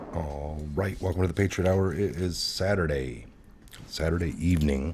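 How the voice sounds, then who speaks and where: Audible room echo surrounds a man whose pitch is very deep and low. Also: ordinary pitch variation, moderate pace. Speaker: livestream political talk show host. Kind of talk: casual live stream chat. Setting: studio. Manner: loud.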